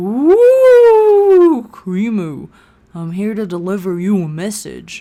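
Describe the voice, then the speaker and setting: A put-on character voice sits at a fairly high pitch. The delivery is very slow. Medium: solo performance. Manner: dramatic, otherworldly.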